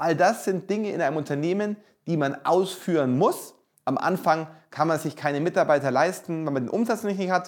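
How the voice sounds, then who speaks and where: A man talks at a moderate pace in a high pitch. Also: ordinary pitch variation. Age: 40s. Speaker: real estate entrepreneur and author. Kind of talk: promotional monologue.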